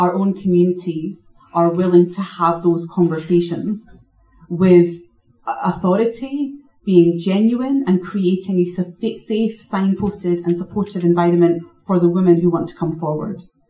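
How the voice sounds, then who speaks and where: A woman speaks at a fairly slow pace in a fairly low voice. Her tone is dark, mellow and somewhat breathy, with ordinary pitch variation. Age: 30s. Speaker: equality charity director. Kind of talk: panel talk.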